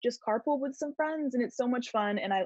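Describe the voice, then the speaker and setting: A woman's somewhat breathy voice with lively intonation, in a dry sound with no echo and a quiet background. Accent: American. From Washington State, Enumclaw; Washington State. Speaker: college student ambassador. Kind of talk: casual Q&A panel. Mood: friendly, upbeat. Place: home room. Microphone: webcam.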